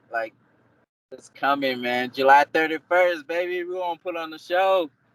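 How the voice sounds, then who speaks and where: The sound is dry and close with no echo as a man talks at a moderate pace in a high pitch with ordinary pitch variation. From Africa. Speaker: MMA fighter. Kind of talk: interview.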